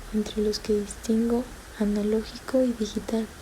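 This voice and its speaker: Over noticeable background noise, this woman speaks in a whisper at a fairly slow pace. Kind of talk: read story. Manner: whispered.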